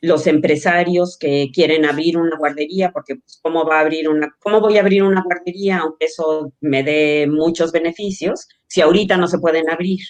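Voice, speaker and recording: A woman uses a normal speaking voice, fairly low in pitch, at a moderate pace with fairly even intonation. Her loudness swings widely, and she hardly pauses. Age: 60s. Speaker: social entrepreneur, childcare company cofounder. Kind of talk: interview.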